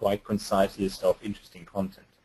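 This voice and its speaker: A somewhat breathy man speaks at a moderate pace. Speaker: webinar presenter. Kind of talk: webinar presentation. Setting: online webinar. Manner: hesitant, many ums.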